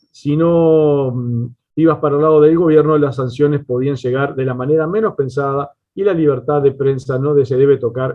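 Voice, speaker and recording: Keeping a fairly slow pace, a man speaks at a fairly high pitch with fairly even intonation. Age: 40s. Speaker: radio station owner. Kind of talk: prepared talk at virtual panel. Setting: virtual round table. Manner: halting with fillers.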